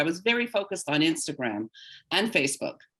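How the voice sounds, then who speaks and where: At a fairly quick pace, a woman with an ordinary speaking voice talks with lively intonation at a medium pitch. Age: 60s. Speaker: voice actor and social media creator. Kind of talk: webinar interview.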